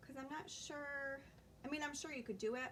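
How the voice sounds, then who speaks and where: A soft-spoken woman talks at a fairly quick pace with ordinary pitch variation. Background noise is noticeable. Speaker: crafter. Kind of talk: live-stream tutorial. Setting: live stream. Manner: casual.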